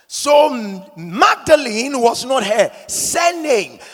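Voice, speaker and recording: Over noticeable background noise, a man speaks in a dramatic tone at an extremely high pitch, his voice making very wide pitch swings. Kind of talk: sermon. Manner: call-and-response, rousing pulpit delivery urging the congregation to repeat lines; emphatic, exhorting, with dramatic rhetorical questions.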